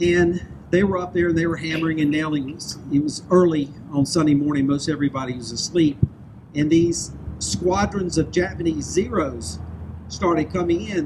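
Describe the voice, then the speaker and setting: Noticeable background noise sits behind this man. He speaks at a moderate pace and fairly high pitch with a Southern US accent. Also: ordinary pitch variation. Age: 60s. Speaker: public speaker. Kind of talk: speech.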